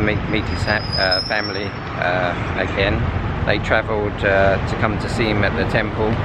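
Loud background noise sits behind a man speaking at a moderate pace, the sound dry with no echo. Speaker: traveller vlogger. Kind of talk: casual vlog chat. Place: street. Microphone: phone near.

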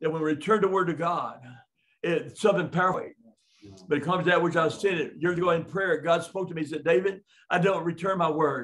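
This man talks at a very fast pace in a high pitch. His intonation stays fairly even. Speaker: preacher. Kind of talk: sermon. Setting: live-streamed class. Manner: halting. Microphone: webcam.

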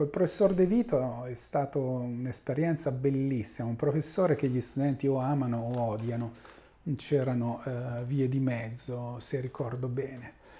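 At a fairly slow pace, a man with a medium pitch and a dark, mellow tone speaks somewhat breathily with fairly even intonation. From central Italy, Urbino area; Italy. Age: 50s. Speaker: mathematical physics professor; professor of mathematical physics. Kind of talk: interview monologue. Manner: halting, many fillers. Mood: calm, reminiscing. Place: office. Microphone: lapel.

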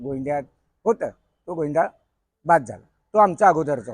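This man has an unremarkable speaking voice. His pitch sits fairly high. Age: 40s. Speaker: senior member of a Govinda troupe. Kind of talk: reminiscing interview monologue.

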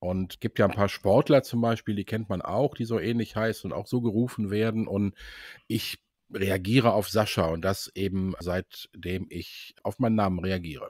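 An ordinary speaking voice moves at a moderate pace with ordinary pitch variation, in a dry, close sound with no echo. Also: man, fairly low pitch for a man. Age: 60s. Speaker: sales employee. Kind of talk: casual interview.

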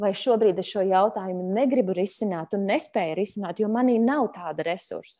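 The woman's tone is dark and mellow, and her pitch varies in an ordinary way. Her background is quiet. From Latvia. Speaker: mediator, conflict resolution trainer; conflict resolution trainer. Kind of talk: online webinar lecture. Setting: video call webinar. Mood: calm, thoughtful. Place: home room. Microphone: earbuds.

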